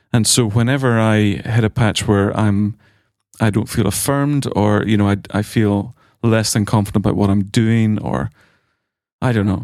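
A man with an Irish accent, fairly low in pitch, with fairly even intonation, on a very clean recording against a silent background. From Ireland. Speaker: graduate of a ministry school. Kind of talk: casual chat. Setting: studio.

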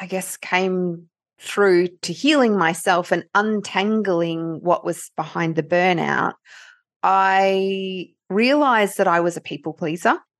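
A woman with an Australian accent at a medium pitch and fairly slow pace, with ordinary pitch variation, against a quiet background. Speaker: nurse and life coach. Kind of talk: interview testimony. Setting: remote call.

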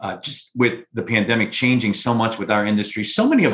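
This man has a plain, everyday voice with an American accent and medium pitch. He talks at a fairly quick pace with ordinary pitch variation. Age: 40s. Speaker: video show host. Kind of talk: casual chat. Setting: video call.

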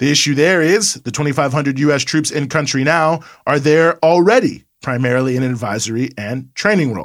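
At a moderate speed, a man with an unremarkable speaking voice talks, his pitch varying in an ordinary way. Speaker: news show host. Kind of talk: news bulletin read aloud, brisk and authoritative, crisp headline delivery. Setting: studio. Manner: formal, measured.

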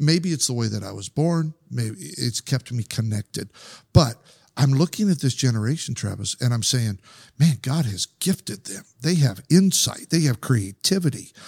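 Somewhat breathy and at medium pitch, a man speaks at a moderate pace with lively intonation and big swings in loudness, the sound dry and close with no echo. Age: 50s. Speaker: podcast host and youth minister. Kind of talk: casual interview. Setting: studio.

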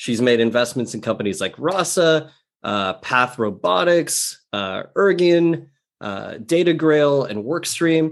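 Against a quiet background, a man with a fairly high pitch speaks at a fairly slow pace, his voice making very wide pitch swings. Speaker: podcast host, venture capitalist. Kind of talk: casual interview. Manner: animated.

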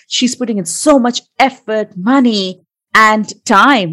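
In a plain, everyday voice, a woman speaks at a fairly slow pace, her fairly high pitch carrying lively intonation. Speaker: podcast host, food stylist and photographer. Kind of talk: casual interview conversation.

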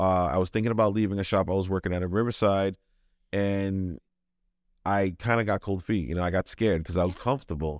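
Very fast and very deep, a man's low voice comes across with a dry, close sound and no echo. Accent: American. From Brooklyn, New York. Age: 40s. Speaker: tattoo shop owner. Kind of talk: casual interview.

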